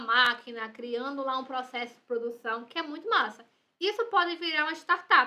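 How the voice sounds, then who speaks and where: A woman projects a raised voice, high-pitched with a bright, sharp tone and ordinary pitch variation. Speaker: university lecturer. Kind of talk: lecture. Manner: fast.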